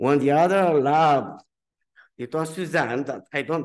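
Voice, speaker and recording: Against a quiet background, a man talks at a fairly slow pace with a Romanian accent. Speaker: physician researcher. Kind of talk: symposium talk. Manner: halting.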